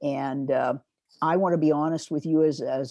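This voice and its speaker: With a Pacific Northwest accent, a woman speaks at a moderate pace in a dark, mellow tone and a very deep, low pitch, her intonation fairly even, in a dry, close sound with no echo. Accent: General American, Pacific Northwest. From US, northeastern Oregon. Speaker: retired pharmacy director and professor. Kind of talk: interview conversation.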